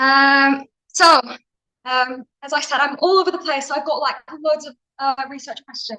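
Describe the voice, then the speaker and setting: A woman's high-pitched voice is raised and projected, with a bright, sharp tone. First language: Turkish. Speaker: postgraduate researcher. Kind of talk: academic conference presentation. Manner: halting, many filler ums; casual, chatty.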